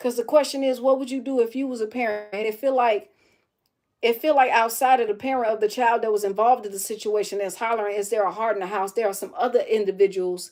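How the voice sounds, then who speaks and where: Speaking at a very fast pace, a woman with an American accent and a fairly high pitch is heard in a very clean recording with a silent background. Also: ordinary pitch variation. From Chicago, north side. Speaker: streamer. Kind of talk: casual commentary. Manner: animated.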